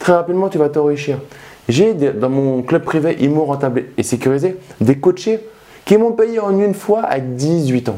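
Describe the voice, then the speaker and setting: Animated and fairly high-pitched, a man talks at a fairly slow pace with lively intonation. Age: 30s. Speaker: real estate investment youtuber. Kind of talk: casual vlog monologue.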